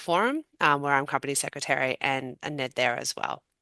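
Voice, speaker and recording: A speaker with an Australian accent has a bright, sharp tone and ordinary pitch variation. The sound is dry and close with no echo, over a quiet background. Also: woman. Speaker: patent attorney and board director. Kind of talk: panel discussion.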